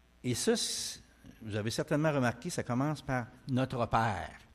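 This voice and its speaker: A man's medium-pitched voice at a fairly slow pace, with ordinary pitch variation and big swings in loudness. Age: 60s. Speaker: preacher. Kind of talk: sermon. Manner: hesitant, many fillers.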